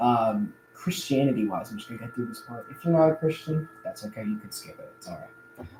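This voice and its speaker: Noticeable background noise sits behind a man talking at a fairly quick pace. His pitch is fairly high. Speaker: youtuber and aspiring musician. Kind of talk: casual livestream chat. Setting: live stream. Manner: halting, many fillers.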